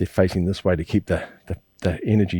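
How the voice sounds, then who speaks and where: A dark, mellow voice in a New Zealand accent, monotone and flat in intonation, dry and close with no echo, on a very clean recording with a silent background. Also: man. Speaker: qigong teacher. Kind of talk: instructional class. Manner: fast.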